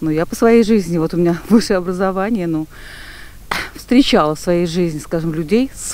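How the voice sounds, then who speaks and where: Over noticeable background noise, a woman talks at a moderate pace. Her pitch is fairly low and her intonation lively. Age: old. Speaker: street interview respondent, retiree. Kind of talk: street vox pop interview.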